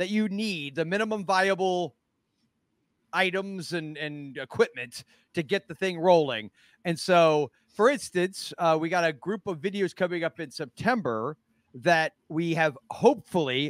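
A man's high-pitched voice at a fairly slow pace, with ordinary pitch variation, dry sound with no echo and a quiet background. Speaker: podcast co-host. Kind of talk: casual podcast chat. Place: home room. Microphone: studio mic.

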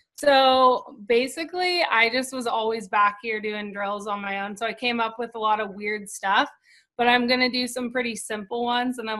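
Against a quiet background, a woman with an American accent speaks at a moderate pace with ordinary pitch variation. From Santa Barbara, California. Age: 20s. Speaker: pro beach volleyball player. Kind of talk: tutorial. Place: garden. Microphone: video call.

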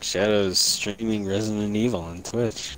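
A man with a fairly low pitch speaks at a moderate pace with fairly even intonation, against noticeable background noise. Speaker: gaming streamer. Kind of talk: casual chat.

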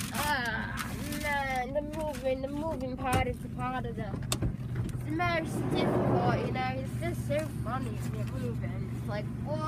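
Over loud background noise, a woman talks at a very slow pace, and the sound is dry with no echo. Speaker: live streamer. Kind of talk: casual live stream chat. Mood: playful, relaxed.

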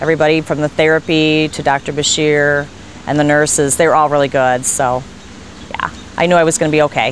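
A woman's very deep, low voice, flat and monotone, at a fairly quick pace, dry with no echo, with light background noise. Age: 40s. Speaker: patient. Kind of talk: testimony. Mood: relaxed, upbeat recounting. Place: street. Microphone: lapel.

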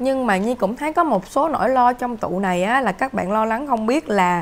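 A woman with an ordinary speaking voice talks at a fairly quick pace, her fairly high pitch carried by lively intonation. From Vietnam. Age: 30s. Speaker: tarot reader. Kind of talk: tarot reading monologue. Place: home room. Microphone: camera far.

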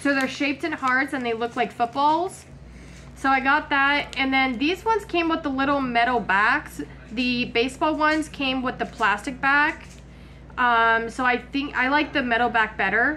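A woman projects her voice with a raised, high pitch and a bright, sharp tone. Her pitch varies in an ordinary way, with light background noise behind her. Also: moderate pace. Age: 30s. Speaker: lifestyle vlogger doing shopping hauls. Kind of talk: casual haul video talking to camera. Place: kitchen. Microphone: phone near.

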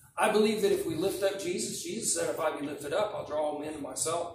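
A man speaks at a moderate pace with light background noise and audible room echo. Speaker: preacher. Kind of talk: sermon. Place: church. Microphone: podium.

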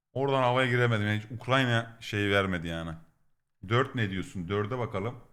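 The man's tone is animated, and he keeps a moderate pace. He speaks at a medium pitch with ordinary pitch variation. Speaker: Twitch streamer. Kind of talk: live stream reaction.

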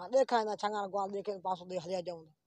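A man with a high pitch and a slightly mellow tone talks fast, with fairly even intonation.

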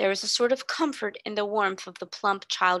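A natural reading voice, pitch moving in an ordinary range

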